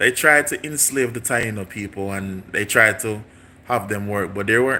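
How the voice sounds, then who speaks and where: This man has a fairly low pitch and a bright, sharp tone. He speaks with a Jamaican accent and ordinary pitch variation. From Jamaica, St Mary. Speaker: YouTuber. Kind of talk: casual livestream chat.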